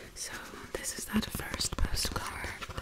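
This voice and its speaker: A woman is whispering. Her pace is very slow. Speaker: ASMR creator. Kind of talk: ASMR whisper talk to camera. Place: home room. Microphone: studio mic.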